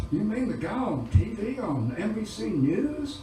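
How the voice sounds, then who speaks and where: With music in the background and audible room echo, a man's voice makes very wide pitch swings. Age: 70s. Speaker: singer-songwriter. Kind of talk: storytelling at a concert. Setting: stage with audience in a bar. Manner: hesitant, many fillers.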